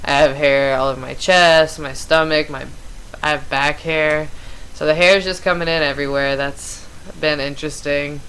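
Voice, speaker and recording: With audible room echo, a woman talks at a moderate pace in a very deep, low pitch and a monotone, flat intonation. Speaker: vlogger. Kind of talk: casual chat. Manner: casual, many fillers like 'um' and 'like'.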